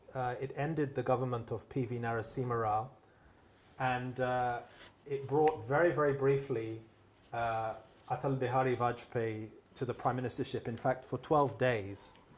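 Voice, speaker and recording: Moderate pace and fairly even intonation, with audible room echo. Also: man, medium pitch for a man. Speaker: moderator and newspaper editor. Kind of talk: moderated public conversation. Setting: public event hall with microphone and audience. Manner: loud.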